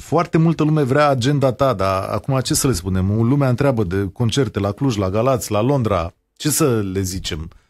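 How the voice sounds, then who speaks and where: A man in a normal speaking voice talks at a moderate pace and a medium pitch, his intonation lively. The recording is very clean with a silent background. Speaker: radio host. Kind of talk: interview.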